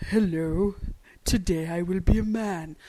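Using a put-on character voice, a woman speaks at a moderate pace with a fairly low pitch and fairly even intonation.

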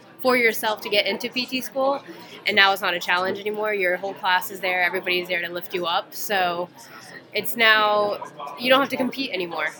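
A woman talks at a fairly quick pace with ordinary pitch variation, in an American accent. She has an unremarkable speaking voice. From US South, Atlanta, Georgia. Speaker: physical therapy student. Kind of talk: interview. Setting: conference.

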